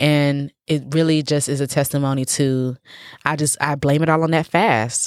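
In a very clean recording with a silent background, a woman speaks at a moderate pace with a very deep, low pitch and monotone, flat intonation. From Nigeria, raised in the US. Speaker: professional dancer and choreographer. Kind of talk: casual interview chat. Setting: at the host's house.

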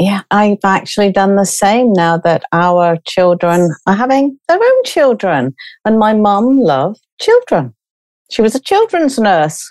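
Speaking in a British accent, a woman at medium pitch uses lively intonation and very even loudness. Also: fairly slow pace, dry, close sound with no echo. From Britain. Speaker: grief coach and podcast host. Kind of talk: interview.

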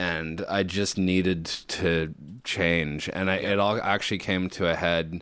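In a very deep, low pitch, a man speaks fairly slowly with monotone, flat intonation and very even loudness. The recording is very clean, with a silent background. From Canada, then Auckland from age fourteen. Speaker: rock musician. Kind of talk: casual interview chat. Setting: studio.

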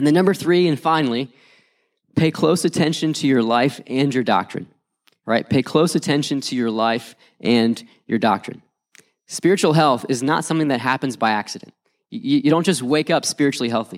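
A man with an American accent speaks at a fairly quick pace, his pitch fairly high and his intonation lively. It's a normal speaking voice on a very clean recording with a silent background. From West Virginia. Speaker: youth pastor. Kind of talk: conference talk.

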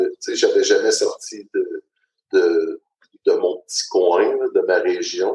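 This man's voice has a dark, mellow tone yet sits at an extremely high pitch. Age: 40s. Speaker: transport operations supervisor. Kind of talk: personal testimony. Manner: hesitant, many fillers.

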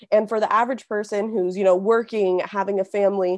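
A woman with a Californian accent against a quiet background. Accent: Californian American. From Southern California (Simi Valley). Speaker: community organizer. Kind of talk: interview.

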